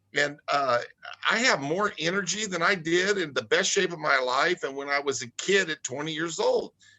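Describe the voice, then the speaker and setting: With ordinary pitch variation, a man's high-pitched voice moves at a moderate pace. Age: 60s. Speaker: product spokesperson. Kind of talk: casual chat. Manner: halting.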